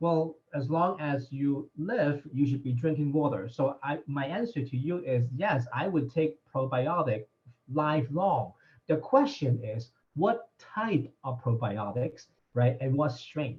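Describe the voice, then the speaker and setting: A somewhat breathy man's voice, fairly high-pitched, at a fairly slow pace with ordinary pitch variation. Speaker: doctor answering health questions. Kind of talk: live Q&A session.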